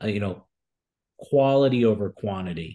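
With an American accent and a plain, everyday voice, a man speaks at a fairly low pitch and moderate pace with ordinary pitch variation against a quiet background. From Newark, New Jersey. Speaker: restaurant franchise founder. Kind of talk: interview.

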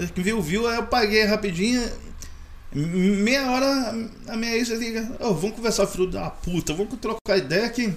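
A man's high-pitched voice in a Rio de Janeiro accent, moderate in pace, with ordinary pitch variation. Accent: carioca. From Rio de Janeiro state, Maricá. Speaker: hot dog vendor. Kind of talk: casual chat. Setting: studio.

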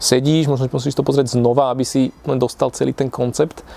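Speaking very fast at a medium pitch, a man is heard over noticeable background noise. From Slovakia, Piešťany. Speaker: entrepreneur. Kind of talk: casual interview.

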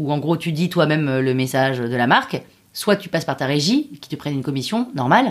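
With lively intonation, a woman speaks in a very deep, low pitch. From Paris, France. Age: 30s. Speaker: podcast creator. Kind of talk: interview. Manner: animated.

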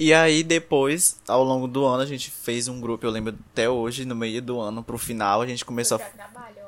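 A man's medium-pitched voice, fairly quick with hardly any pauses and ordinary pitch variation, over noticeable background noise. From Brazil, São Luís, Maranhão. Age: 20s. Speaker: podcast host. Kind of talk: casual chat.

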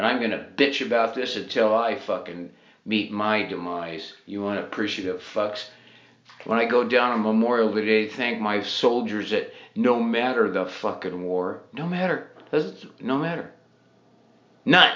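Noticeable background noise sits under a man speaking at a fairly slow pace, medium in pitch, with ordinary pitch variation. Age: 70s. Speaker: podcaster and military veteran. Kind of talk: rant monologue. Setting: home bathtub. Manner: animated.

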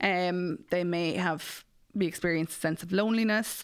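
In an Irish Midlands accent, a woman speaks at medium pitch with ordinary pitch variation on a very clean recording with a silent background. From Ireland, Mullingar (Westmeath). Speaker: matchmaker and podcast host. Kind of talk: casual interview chat.

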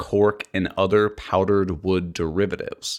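A man speaks at a fairly slow pace in a fairly low pitch. The recording is very clean, with a silent background. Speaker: podcast host, woodworker. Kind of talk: casual chat, podcast banter. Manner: voice fluctuates in pitch.

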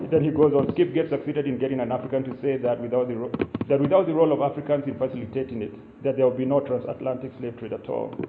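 With a Kenyan accent, a man speaks at a very fast pace and medium pitch with fairly even intonation, over noticeable background noise. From Kenya (Limuru). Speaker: writer and academic. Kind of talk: keynote lecture. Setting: live event with audience, low-quality recording.

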